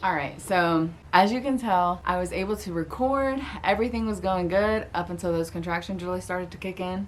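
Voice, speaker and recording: A woman with an American accent, an ordinary speaking voice, medium pitch, ordinary pitch variation and a fairly quick pace. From Florida. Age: 20s. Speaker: new mother, vlogger. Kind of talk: casual talk to camera.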